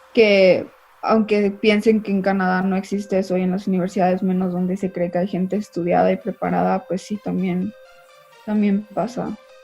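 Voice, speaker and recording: Noticeable background noise sits behind a woman speaking at a moderate pace. Her pitch is medium and her intonation is monotone and flat. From Mexico. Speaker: interview guest. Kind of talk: interview.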